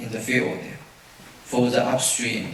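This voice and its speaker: Speaking fairly slowly with a Chinese accent, a man is heard amid audible room echo and noticeable background noise. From China. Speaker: safety consultant presenter. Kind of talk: conference presentation. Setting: auditorium with audience. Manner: halting, many fillers.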